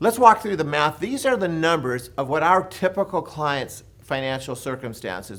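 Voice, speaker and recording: Using very wide pitch swings, a man with an American accent talks at a moderate pace in a fairly high pitch. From Los Angeles, California (Compton). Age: 60s. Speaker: real estate educator. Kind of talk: seminar presentation.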